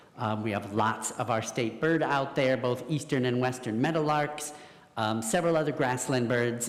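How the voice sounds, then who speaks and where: Moderately paced speech from a man amid audible room echo and noticeable background noise. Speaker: environmental educator. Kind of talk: talk to audience. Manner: loud.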